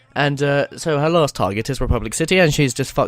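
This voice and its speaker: Over music in the background, a man speaks at a fairly quick pace, the sound dry and close with no echo. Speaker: online video guest host. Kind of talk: casual topic discussion.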